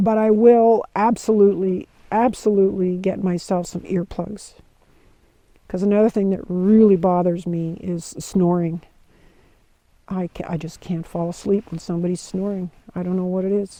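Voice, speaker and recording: A woman's medium-pitched voice, dark and mellow in tone, with monotone, flat intonation at a moderate pace. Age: 60s. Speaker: hiker vlogger. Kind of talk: casual monologue. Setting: outdoors by campfire. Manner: halting.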